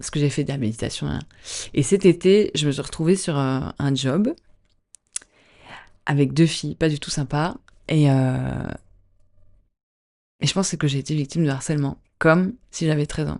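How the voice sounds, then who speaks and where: Soft-spoken and calm, a woman with a very deep, low pitch talks at a moderate pace with ordinary pitch variation and long, frequent pauses. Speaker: dancer and actor. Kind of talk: podcast interview.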